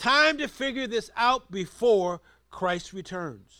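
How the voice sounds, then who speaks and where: His voice is raised and projected, high for a man, with a bright, sharp tone and very wide pitch swings at a very slow pace. The recording is very clean, with a silent background. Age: 70s. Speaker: preacher. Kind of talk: sermon. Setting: church.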